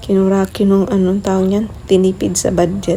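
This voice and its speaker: Soft-spoken and at a moderate pace, a woman talks over noticeable background noise. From Leyte, Philippines. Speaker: vlogger. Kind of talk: casual video voiceover.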